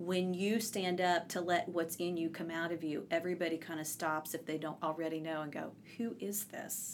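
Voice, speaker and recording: This woman has a plain, everyday voice with a fairly low pitch. She speaks at a moderate pace. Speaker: podcast host. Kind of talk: casual interview. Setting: Cheekwood gardens in Nashville.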